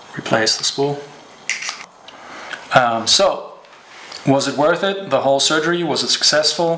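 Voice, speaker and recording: Audible room echo surrounds a man's voice. Behind him there is noticeable background noise. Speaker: fishing show host. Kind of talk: tutorial. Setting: at home. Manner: casual, with fillers.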